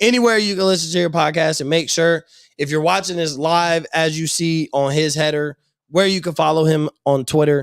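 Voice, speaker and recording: A man with a normal speaking voice talks at a fairly quick pace and a fairly high pitch, with fairly even intonation, on a very clean, dry, close recording with no echo and a silent background. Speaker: sports podcast host. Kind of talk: casual chat. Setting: live stream.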